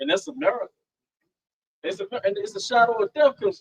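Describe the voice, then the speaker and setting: A loud man talks at a fairly quick pace with lively intonation and an extremely high pitch. The sound is dry and close, with no echo. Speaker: religious camp teacher. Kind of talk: religious discussion.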